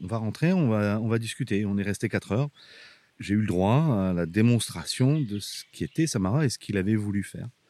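A man's fairly low voice at a moderate pace with ordinary pitch variation, on a very clean recording with a silent background. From northern France, Abbeville. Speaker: archaeological park director. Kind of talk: casual interview. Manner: hesitant, with fillers.

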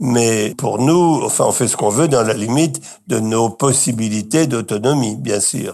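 A man's dark, mellow voice at a medium pitch, with ordinary pitch variation and a fairly slow pace. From Brittany, France. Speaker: retirement home resident. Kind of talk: interview testimony.

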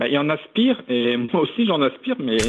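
A man speaks at a fairly slow pace with a fairly high pitch and lively intonation. Noticeable background noise runs underneath. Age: 20s. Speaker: caller. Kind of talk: phone-in call.

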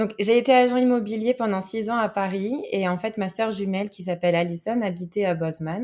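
Woman with an unremarkable speaking voice, medium pitch and ordinary pitch variation, at a fairly quick pace with hardly any pauses, on a very clean recording with a silent background. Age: 20s. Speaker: baker. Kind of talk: interview.

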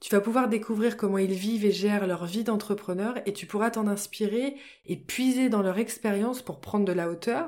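A woman speaks in a relaxed tone at a moderate pace, her medium-pitched voice dark and mellow with ordinary pitch variation, on a very clean recording with a silent background. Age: 30s. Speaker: podcast host and business coach. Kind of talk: solo podcast monologue. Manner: friendly and relaxed.

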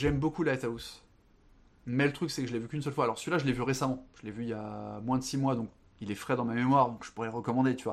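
Very fast speech comes from a man with a medium pitch and fairly even intonation. The background is quiet. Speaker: film and book podcast guest. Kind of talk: casual chat. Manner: halting.

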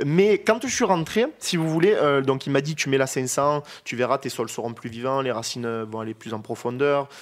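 A man's fairly high-pitched voice, lively in intonation, at a moderate pace with hardly any pauses. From Provence, France (Saint-Rémy-de-Provence). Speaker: winemaker. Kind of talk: interview. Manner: halting.

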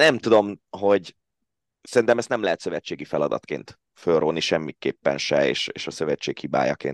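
Vocal fry and very wide pitch swings at a moderate pace, in a dry, close sound with no echo. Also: man, very deep, low pitch for a man. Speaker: sports commentator. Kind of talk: casual panel discussion.

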